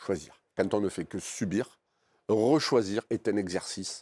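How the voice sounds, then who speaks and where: A man with a strong Marseille accent speaks at a very slow pace in a fairly low pitch with ordinary pitch variation, on a very clean recording with a silent background and a dry, close sound with no echo. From France, Marseille northern districts. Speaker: coach and university professor. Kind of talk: interview. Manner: hesitant, many fillers.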